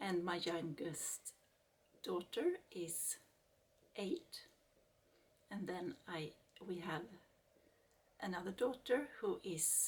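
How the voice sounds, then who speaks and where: A woman with a Swedish accent speaks at a very slow pace, somewhat breathy. Her pitch is fairly low, with ordinary pitch variation. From Sweden. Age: 40s. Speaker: craft YouTuber. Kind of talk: casual vlog introduction. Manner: halting.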